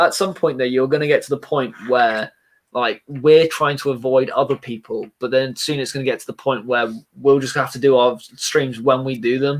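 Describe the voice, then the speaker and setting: A man talks at a moderate pace and medium pitch with fairly even intonation. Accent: American. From England, Plymouth, Devon. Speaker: Lego building YouTuber. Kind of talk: casual live stream chat. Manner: relaxed, not shouting.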